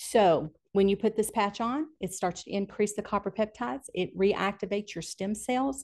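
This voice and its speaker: A woman talks at a moderate pace with hardly any pauses and ordinary pitch variation against a quiet background. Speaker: physical therapist. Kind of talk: testimony. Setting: in-person studio.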